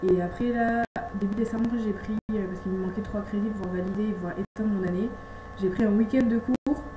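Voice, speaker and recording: A woman speaks at a fairly quick pace with a fairly high pitch and fairly even intonation, in a dry, close sound with no echo. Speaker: au pair vlogger. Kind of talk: casual vlog Q&A. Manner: fast; hesitant with fillers.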